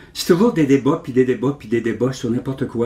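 Somewhat breathy, with a dark, mellow tone, a man speaks at a fairly high pitch with ordinary pitch variation. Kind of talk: interview.

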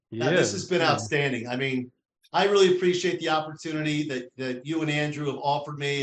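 A man with a New Jersey accent speaks at a very fast pace in a fairly high voice. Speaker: interview guest, company president.

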